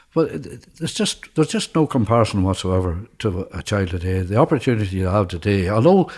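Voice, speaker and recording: Somewhat breathy, a man speaks with a fairly low pitch and lively intonation. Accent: rural Northern Irish. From rural Ireland, County Fermanagh. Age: 70s. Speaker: former Irish Army soldier. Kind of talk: life story interview answer.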